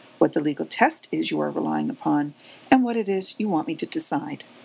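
A woman is speaking. Her pace is fairly quick. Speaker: self represented litigant. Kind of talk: reading aloud listener feedback.

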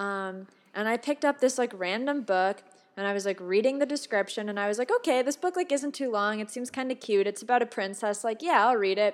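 With an ordinary speaking voice, a woman talks at a fairly quick pace and a fairly high pitch with ordinary pitch variation. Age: 20s. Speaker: movie podcast co-reviewer. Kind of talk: casual chat. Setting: remote recording.

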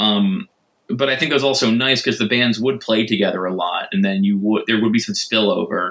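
Fairly quick speech comes from a man with a medium pitch and ordinary pitch variation. He has a plain, everyday voice. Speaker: record label co-founder guest. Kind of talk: casual interview.

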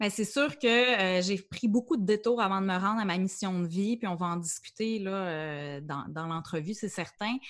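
A woman has an ordinary speaking voice, medium in pitch with ordinary pitch variation. She speaks at a moderate pace against a quiet background. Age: 30s. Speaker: life coach. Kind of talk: interview.

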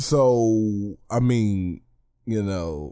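Dark, mellow tone with an American accent and lively intonation, on a very clean recording with a silent background. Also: man. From US South. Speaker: wrestling podcaster. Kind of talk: solo podcast review. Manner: casual, slang-heavy.

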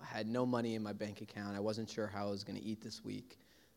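Here is an unremarkable speaking voice from a man with an American accent. He keeps a medium pitch and a fairly quick pace. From US Northeast (Brooklyn, New York). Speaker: pastor. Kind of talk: sermon.

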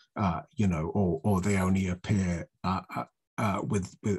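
Against a quiet background, a somewhat breathy voice moves at a moderate pace with fairly even intonation. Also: man. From southern England, Oxfordshire. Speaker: political speaker, writer. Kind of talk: lecture. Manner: halting, many fillers and repetitions.

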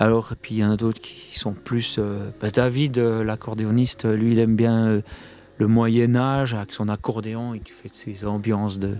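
At a moderate pace, a man with a dark, mellow tone speaks at a medium pitch in a monotone, flat intonation, his loudness swinging widely. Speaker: comic book artist and musician. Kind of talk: casual radio interview. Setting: radio studio.

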